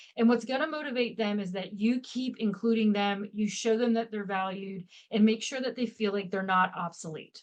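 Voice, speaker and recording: With an ordinary speaking voice, a woman talks at a moderate pace. Her pitch is fairly high, with ordinary variation. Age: 50s. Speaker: leadership expert. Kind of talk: podcast interview.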